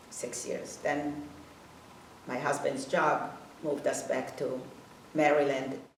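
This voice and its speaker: Very slow delivery with long, frequent pauses and audible room echo. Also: woman. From Hungary. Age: 80s+. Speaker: Holocaust survivor. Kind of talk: testimony. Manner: halting.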